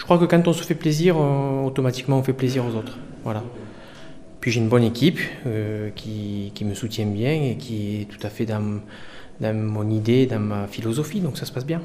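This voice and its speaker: At a moderate pace, a man with an ordinary speaking voice and medium pitch talks with ordinary pitch variation. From France, Lozère. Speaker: chef. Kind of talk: casual interview over dinner.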